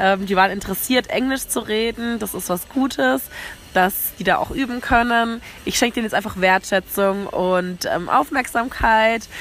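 Noticeable background noise runs under a woman's voice. She speaks at a moderate pace with ordinary pitch variation. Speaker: travel podcaster. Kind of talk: casual monologue. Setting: outdoors on a café rooftop terrace. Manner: animated.

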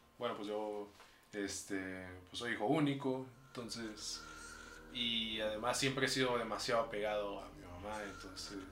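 Audible room echo surrounds a man with a fairly low pitch and ordinary pitch variation. He speaks at a fairly slow pace, with big swings in loudness. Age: young. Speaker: podcast co-host. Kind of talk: casual chat. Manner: soft-spoken.

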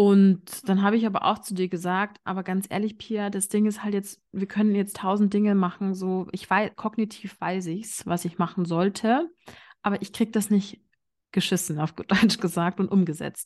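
A woman talks with a slight Bavarian accent and fairly even intonation. The background is quiet. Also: medium pitch for a woman, moderate pace. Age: 30s. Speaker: business psychologist. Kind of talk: interview.

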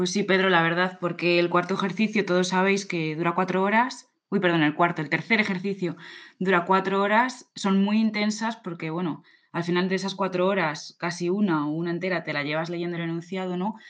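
A woman with an unremarkable speaking voice talks at a fairly quick pace and medium pitch with fairly even intonation against a quiet background. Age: 20s. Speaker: podcast co-host, civil servant. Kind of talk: casual chat.

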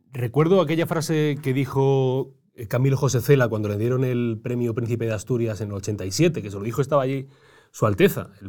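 A man with a normal speaking voice talks at a moderate pace and medium pitch on a very clean recording with a silent background. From Granada, Spain. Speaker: podcast interviewer. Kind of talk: casual interview.

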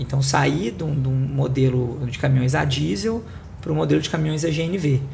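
A man with a Minas Gerais accent speaks at a moderate pace, his medium pitch carried by lively intonation. Noticeable background noise and audible room echo surround his voice. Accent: Minas Gerais (mineiro). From Belo Horizonte, Minas Gerais, Brazil. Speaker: corporate sustainability director. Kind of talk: panel discussion. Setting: studio.

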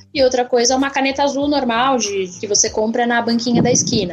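A woman with a fairly high voice talks while noticeable background noise carries on. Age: 20s. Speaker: design student and artist. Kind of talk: casual interview.

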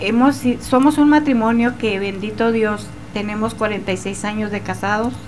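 A woman with a fairly high voice talks at a fairly slow pace. Noticeable background noise and audible room echo fill the recording. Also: ordinary pitch variation. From Chihuahua, Mexico. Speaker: author and medium. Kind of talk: testimony.

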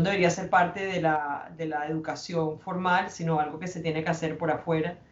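Amid noticeable background noise and audible room echo, a woman with a fairly low pitch speaks in a flat monotone. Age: 40s. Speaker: businesswoman and foundation president. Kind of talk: interview. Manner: hesitant, many fillers.

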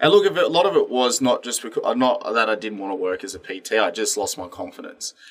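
A man with an Australian accent talks at a fairly quick pace with hardly any pauses, his loudness swinging widely over noticeable background noise. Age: 20s. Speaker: gym owner and personal trainer. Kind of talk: casual interview chat.

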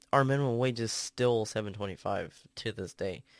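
Recorded very cleanly against a silent background, a man talks at a fairly quick pace with fairly even intonation. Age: 20s. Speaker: podcast host, student. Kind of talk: solo ranting monologue. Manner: casual, filler-heavy (um, uh).

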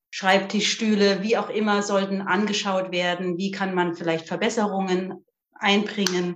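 A woman at a medium pitch talks fairly slowly, her intonation monotone and flat. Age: 50s. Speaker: physiotherapist. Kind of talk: casual interview.

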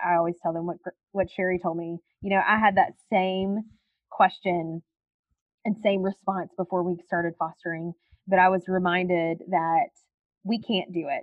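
A woman speaks at a moderate pace in a medium pitch. She leaves long, frequent pauses. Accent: Southern US. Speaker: foster parent and foster care advocate. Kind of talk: podcast interview, conversational. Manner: energetic, warm.

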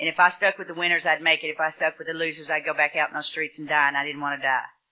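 A woman's fairly low voice with a Texan accent. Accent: Texan Southern US. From Texas. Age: 30s. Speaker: recovering alcoholic speaker. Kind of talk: recovery testimony.

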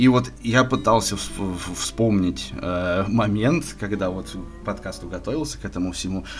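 At a fairly slow pace and fairly low pitch, a man speaks with lively intonation and vocal fry, with audible room echo. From Moscow, Russia. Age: 20s. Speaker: podcast guest, sports bettor. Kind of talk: casual chat. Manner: halting, many filler words.

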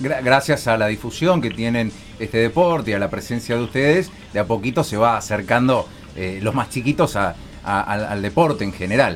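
Speaking in a Rioplatense accent, a man keeps a moderate pace and a medium pitch with lively intonation. Background noise is noticeable. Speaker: radio sports show host. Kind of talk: radio interview.

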